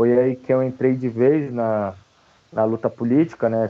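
Here is a man with an ordinary speaking voice. He talks at a fairly slow pace. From São Paulo, Brazil (north zone periphery). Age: 20s. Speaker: theologian and antifascist activist. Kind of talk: interview conversation.

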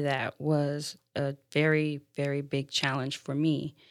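In a very clean recording with a silent background, a woman with an American accent speaks in a very deep, low pitch with monotone, flat intonation. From Florida. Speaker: single mother, church member. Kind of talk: interview.

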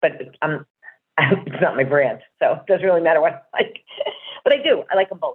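Speaking with a New Jersey accent, a woman moves at a fairly quick pace but leaves long, frequent pauses. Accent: New Jersey American. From New Jersey, US. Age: 60s. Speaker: rock band fan. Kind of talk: casual interview chat.

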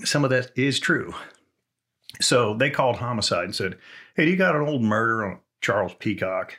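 A man with a bright, sharp tone speaks at a medium pitch and a moderate pace, using lively intonation and long, frequent pauses. The recording is very clean with a silent background. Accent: Texan. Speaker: retired police officer and TV analyst. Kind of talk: casual chat. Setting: studio.

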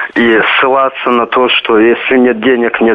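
A man's voice against noticeable background noise. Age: 20s. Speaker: caller. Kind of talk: phone-in call. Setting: phone call.

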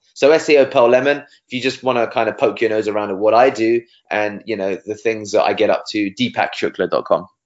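A man talks at a fairly quick pace with hardly any pauses. His pitch is medium, with ordinary variation. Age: 30s. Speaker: SEO agency director. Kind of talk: interview. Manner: fast, animated.

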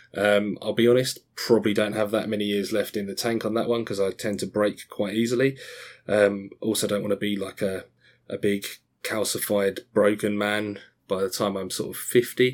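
Intonation stays monotone and flat while the words come at a fairly quick pace. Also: man. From Australia. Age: 30s. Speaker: podcast host. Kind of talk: solo podcast monologue. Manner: hesitant, many fillers.

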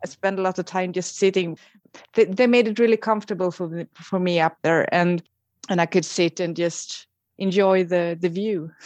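A woman with a Swedish accent, fairly even intonation and a moderate pace, against a quiet background. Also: medium pitch for a woman, dry, close sound with no echo. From Sweden. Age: 40s. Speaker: emergency nurse and contest winner. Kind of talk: interview. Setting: phone or video call.

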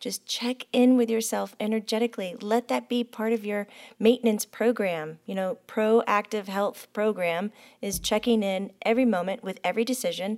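Recorded dry and close with no echo, a woman with a plain, everyday voice speaks at a moderate pace with fairly even intonation. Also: fairly high pitch for a woman, very clean recording, silent background. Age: 40s. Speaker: podcast host and medium. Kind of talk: casual chat.

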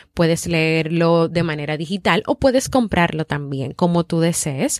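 A woman talks fairly slowly, her pitch varying in an ordinary way, on a very clean recording where the background is silent. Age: 30s. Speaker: podcast host and psychologist. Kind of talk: motivational podcast monologue.

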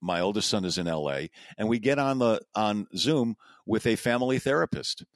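In a plain, everyday voice at medium pitch, a man talks at a moderate pace with lively intonation, the sound dry and close with no echo on a very clean recording with a silent background. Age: 60s. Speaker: podcast host, cancer patient. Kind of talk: casual conversation.

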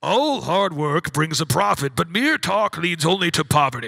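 A man's put-on character voice, high in pitch. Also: moderate pace. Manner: booming.

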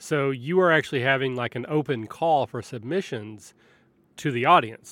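Using an unremarkable speaking voice, a man holds a medium pitch, a moderate pace and ordinary pitch variation. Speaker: podcast host. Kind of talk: casual interview chat.

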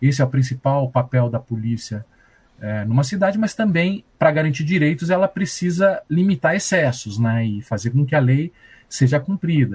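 With lively intonation and a somewhat breathy sound, a man talks at a moderate pace in a fairly high pitch. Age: 50s. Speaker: journalist and violence researcher. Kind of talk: interview.

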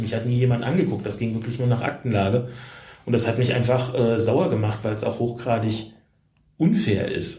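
A man talks at a moderate pace in a medium pitch, his tone dark and mellow. His voice is somewhat breathy, with audible room echo. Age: 40s. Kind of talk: interview. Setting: hotel room.

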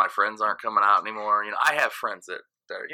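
A man talks at a very fast pace. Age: 30s. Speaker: DJ. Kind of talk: casual chat.

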